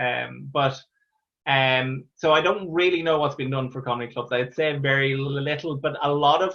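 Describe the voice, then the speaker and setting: A man with an Irish accent speaks with fairly even intonation. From Ireland. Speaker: stand-up comedian. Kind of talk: interview answer. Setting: video call. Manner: stammers.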